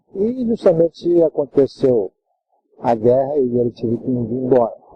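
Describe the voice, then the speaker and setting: A man speaks in a medium pitch with a somewhat breathy voice. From Japan. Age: 70s. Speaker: judo master. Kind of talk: interview. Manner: halting. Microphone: poor audio, later improved.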